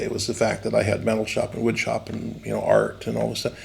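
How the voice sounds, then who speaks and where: This is a man speaking. Background noise is noticeable. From San Bernardino, California. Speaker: animatronics designer and company founder. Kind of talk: interview answer. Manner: casual, rambling with many fillers.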